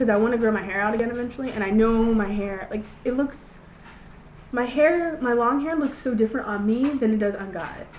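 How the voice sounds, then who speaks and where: A woman with a fairly high pitch and ordinary pitch variation talks at a moderate pace, with audible room echo and noticeable background noise. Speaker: video blogger. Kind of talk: casual vlog monologue. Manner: halting, many fillers.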